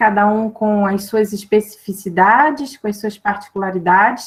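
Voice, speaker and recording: Here a woman talks with a Brazilian accent. Her voice is fairly high and somewhat breathy. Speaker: academic commentator. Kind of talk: academic panel commentary. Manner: hesitant, many fillers; slow, careful.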